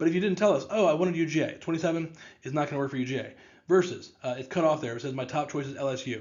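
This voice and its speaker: A man talks at a very fast pace. His voice is fairly high in pitch. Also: ordinary pitch variation. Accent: American. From St. Louis, Missouri, US Midwest. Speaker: test prep tutor and company co-founder. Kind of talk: informational presentation to parents and students. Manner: animated, extroverted.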